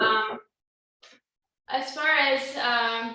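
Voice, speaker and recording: Audible room echo surrounds a woman's fairly high voice, which shows ordinary pitch variation. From France. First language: French. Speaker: toastmasters club member. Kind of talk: impromptu speech.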